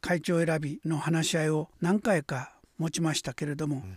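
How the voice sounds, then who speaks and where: A man speaks at a fairly slow pace in a very clean recording with a silent background and a dry, close sound with no echo. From Hokkaido, Kuriyama. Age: 80s+. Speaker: calligrapher. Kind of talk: radio interview.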